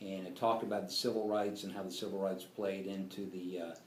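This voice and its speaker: The speaker has an American accent. Room echo can be heard. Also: man. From grew up on US military bases. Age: 60s. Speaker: interviewee recalling civil rights era. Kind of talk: interview. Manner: halting, many fillers.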